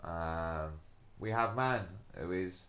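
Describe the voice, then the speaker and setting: A man speaks very slowly with ordinary pitch variation. There is audible room echo. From England. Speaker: gaming live streamer. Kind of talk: casual live gameplay commentary. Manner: hesitant, many fillers.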